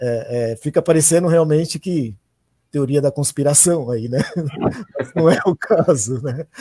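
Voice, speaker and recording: A man with a fairly high pitch and a dark, mellow tone speaks somewhat breathily at a fairly slow pace, with ordinary pitch variation and long, frequent pauses, the sound dry and close with no echo. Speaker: discussion moderator. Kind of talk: online panel discussion.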